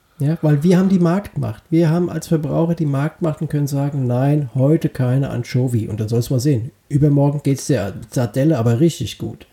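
Fairly high-pitched and somewhat breathy, a man talks at a fairly quick pace. His tone is dark and mellow. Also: ordinary pitch variation, hardly any pauses. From Wiesbaden, Hesse. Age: 30s. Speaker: comedy podcast co-host. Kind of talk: casual comedic chat.

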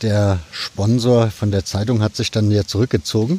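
A man with a dark, mellow, somewhat breathy voice at a fairly low pitch speaks at a moderate pace with fairly even intonation, in a dry, close sound with no echo. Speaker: podcast host. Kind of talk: casual interview. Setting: outdoors at stadium.

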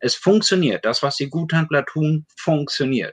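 With an unremarkable speaking voice, a man talks at a fairly slow pace and a fairly high pitch. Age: 50s. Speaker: addiction self-help association board member. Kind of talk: casual chat.

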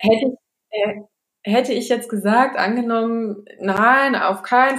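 A woman speaks with fairly even intonation. Her pitch sits fairly high. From northern Germany, Baltic coast. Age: 30s. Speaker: family nutrition consultant, company founder. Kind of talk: podcast interview. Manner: hesitant, many fillers.

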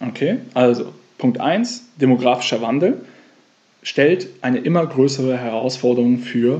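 A man talks at medium pitch and a moderate pace. His pitch variation is ordinary. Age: 30s. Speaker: financial coach and podcast host. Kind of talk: solo podcast monologue.

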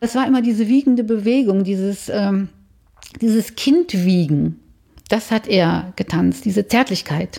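At a fairly slow pace, a woman speaks with a medium pitch, a dark, mellow tone, a somewhat breathy quality and lively intonation. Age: 60s. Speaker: bereaved daughter telling her story. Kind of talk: personal testimony interview.

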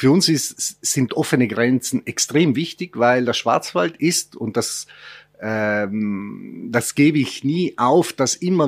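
A man at a medium pitch, very slow pace and lively intonation. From Italy. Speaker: tourism executive. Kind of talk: radio interview. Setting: studio.

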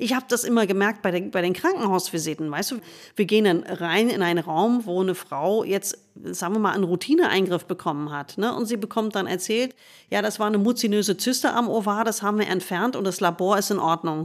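This woman speaks at a fairly quick pace, medium pitch, with ordinary pitch variation. The recording is very clean, with a silent background. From United States. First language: English (speaking German). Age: 50s. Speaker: gynecologist and author. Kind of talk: interview conversation.

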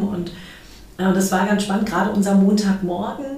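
A woman at a medium pitch speaks with fairly even intonation, with audible room echo and noticeable background noise. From Berlin, Germany. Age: 50s. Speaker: manager. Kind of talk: interview. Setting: studio, in person.

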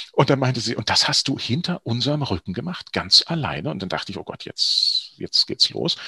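A man talks at a fairly quick pace with hardly any pauses, the sound dry and close with no echo, over noticeable background noise. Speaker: actor and voice-over artist. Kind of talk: interview. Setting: studio.

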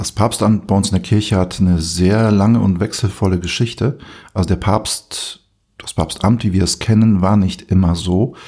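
A dark, mellow tone at a moderate pace, with fairly even intonation and a very clean recording over a silent background. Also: man, fairly low pitch for a man. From Poland. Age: 40s. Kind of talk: casual chat.

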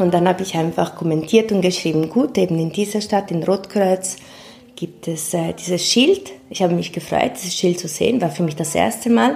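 Over noticeable background noise, a woman speaks at a moderate pace, her medium pitch showing ordinary variation. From Ticino, Switzerland. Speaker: migrant activist. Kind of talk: interview. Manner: halting.

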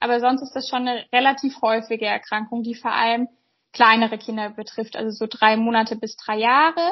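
At a fairly quick pace, a woman speaks in an unremarkable speaking voice, fairly high-pitched, with fairly even intonation. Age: 20s. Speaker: pediatric doctor. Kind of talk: interview.

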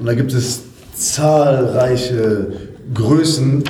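The room echo is audible and background noise is noticeable. Through it, a man speaks at a medium pitch. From Germany, Ruhr area (Essen). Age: 30s. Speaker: fitness coach. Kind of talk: interview.

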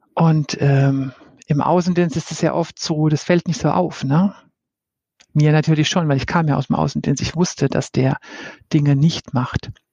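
With a very deep, low pitch, a woman speaks in a somewhat breathy way, leaving long, frequent pauses. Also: ordinary pitch variation, moderate pace. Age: 50s. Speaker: head of people development. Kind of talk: casual interview.

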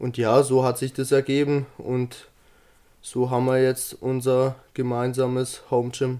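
A man speaks at a very slow pace. His medium-pitched voice has a dark, mellow tone. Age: 20s. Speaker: fitness influencer. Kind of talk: casual chat.

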